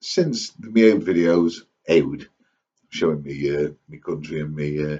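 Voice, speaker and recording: Lively intonation marks this man's speech. He keeps to a moderate tempo. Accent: East Midlands. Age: 60s. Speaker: vlogger. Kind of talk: casual monologue to camera. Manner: rambling, hesitant with fillers.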